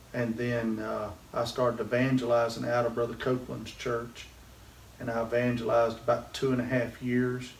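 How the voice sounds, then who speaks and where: With a Southern US accent, a man talks in a monotone, flat intonation over noticeable background noise and audible room echo. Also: medium pitch for a man, moderate pace. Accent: Southern US (Georgia). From US South. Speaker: pastor. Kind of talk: interview.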